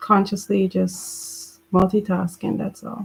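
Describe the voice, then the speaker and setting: Somewhat breathy and medium in pitch, a woman's voice moves at a fairly slow pace with flat, monotone intonation. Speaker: book club host. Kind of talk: reading aloud. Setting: live stream. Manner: whispering at times.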